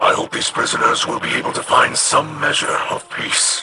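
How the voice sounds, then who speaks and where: A man's put-on character voice at a moderate pace, with faint music in the background. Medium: short film. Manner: formal, solemn, measured.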